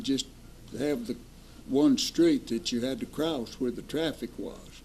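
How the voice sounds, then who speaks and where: Speaking at a fairly slow pace with lively intonation, a man with an East Tennessee accent uses a fairly high pitch. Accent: Southern US (East Tennessee). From US South. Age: 80s+. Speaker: retired bank president. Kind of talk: interview reminiscence.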